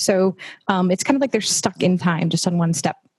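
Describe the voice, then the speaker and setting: Someone with an American accent talks at a very fast pace in a dry, close sound with no echo. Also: woman. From United States. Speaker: people team employee giving a talk. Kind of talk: company talk to colleagues. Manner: casual, conversational with many fillers.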